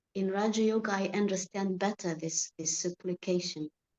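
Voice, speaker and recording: A woman at medium pitch with an Arabic accent, fairly even intonation and a moderate pace. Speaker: spiritual study group member. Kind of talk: casual spiritual discussion. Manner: halting.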